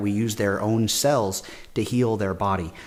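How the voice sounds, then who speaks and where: A man speaks in a fairly low pitch. His intonation stays fairly even. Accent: US Midwestern. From Nebraska, US Midwest. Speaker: clinical perfusionist, scholarship recipient. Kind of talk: interview testimony.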